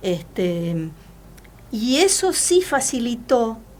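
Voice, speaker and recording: A woman's fairly high voice with audible room echo. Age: 60s. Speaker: journalist and university teacher. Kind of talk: interview. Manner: hesitant, many fillers.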